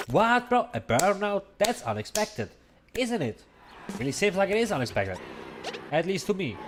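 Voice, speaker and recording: A man speaks at a high pitch with lively intonation and long, frequent pauses. Noticeable background noise runs underneath. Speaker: gaming streamer. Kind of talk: live gameplay commentary. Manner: fast.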